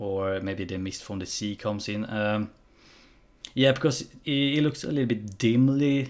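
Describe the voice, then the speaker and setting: Fairly slow speech from a man with a non-native accent. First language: not English. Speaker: gaming reaction YouTuber. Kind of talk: casual commentary. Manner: halting.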